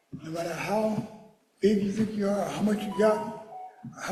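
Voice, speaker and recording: The speaker has an American accent and a fairly even intonation. There is audible echo in the room. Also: man. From Philadelphia, US. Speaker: mourner giving a eulogy. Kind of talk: eulogy. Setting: church memorial service. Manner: fast; halting.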